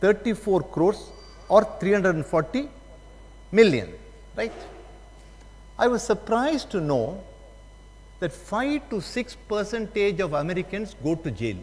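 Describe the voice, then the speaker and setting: A man with a high voice and a South Indian accent, fairly slow pace, very wide pitch swings, and long, frequent pauses. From South India, Tamil Nadu. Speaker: judge and guest lecturer. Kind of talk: lecture.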